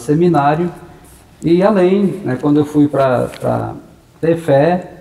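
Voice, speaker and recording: A man at a very slow pace, ordinary pitch variation, and noticeable background noise. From Brazil, interior of São Paulo state (Maracaí/Assis area). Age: 60s. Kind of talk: interview. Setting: parish church premises.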